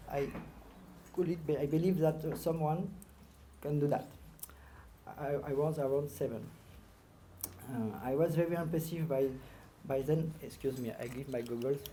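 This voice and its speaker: A moderate pace in a French accent, broken by long, frequent pauses. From northern France. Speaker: marathon swimmer, award inductee. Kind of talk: acceptance speech. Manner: halting.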